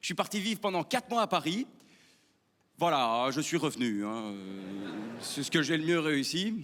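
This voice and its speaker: With a Belgian accent, a man with a fairly high voice sounds animated, moving through very wide pitch swings at a fairly slow pace with long, frequent pauses. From Belgium (Wallonia). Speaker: stand-up comedian. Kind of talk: stand-up. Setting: stage with audience.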